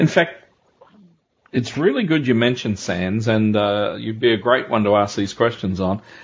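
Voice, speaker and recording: A man at medium pitch with ordinary pitch variation, a plain, everyday voice. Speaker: podcast host. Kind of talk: interview.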